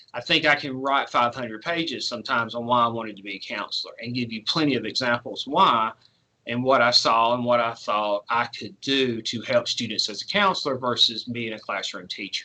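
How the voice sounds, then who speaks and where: A man talks at a fairly quick pace in a medium pitch with ordinary pitch variation. It is a plain, everyday voice. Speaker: school counselor. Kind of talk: virtual presentation to parents. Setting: online video presentation.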